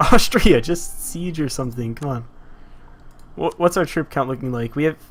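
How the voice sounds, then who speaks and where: Over music in the background, a man with an American accent talks at a moderate pace, his fairly high voice full of lively intonation. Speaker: video game streamer. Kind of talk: live gameplay commentary. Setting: live stream. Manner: animated.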